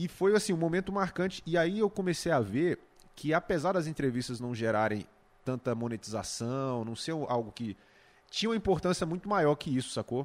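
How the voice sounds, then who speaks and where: The recording is very clean, and the background is completely silent. A man with a fairly high voice talks at an average speed, his pitch swinging very widely. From Brazil, Goiás near Brasília. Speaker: YouTuber and music entrepreneur. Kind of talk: casual chat.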